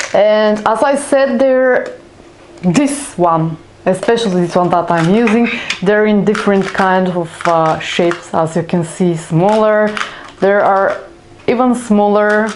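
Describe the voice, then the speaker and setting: Pitch varies in an ordinary way while loudness stays very even. Noticeable background noise and audible room echo surround the voice. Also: woman, medium pitch for a woman. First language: not English. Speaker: craft YouTuber. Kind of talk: tutorial. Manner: halting, many fillers.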